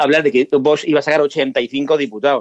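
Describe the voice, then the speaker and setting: In a normal speaking voice, a man talks at a fairly quick pace with a fairly high pitch, and the sound is dry and close with no echo. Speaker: radio contributor. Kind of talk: radio panel discussion.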